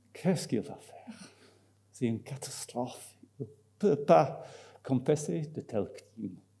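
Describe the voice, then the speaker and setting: A man talks at a fairly slow pace, his pitch swinging very widely and his loudness rising and falling sharply. His tone is dark and mellow with vocal fry, and he takes long, frequent pauses. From Scotland. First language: English (speaking French). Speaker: marketing professor. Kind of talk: conference talk. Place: hall. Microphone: podium.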